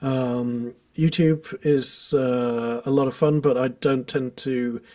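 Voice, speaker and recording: Speaking at a medium pitch with a British accent, a man has a dark, mellow tone and lively intonation. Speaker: guitar teacher. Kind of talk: casual chat. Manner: hesitant, filler-heavy.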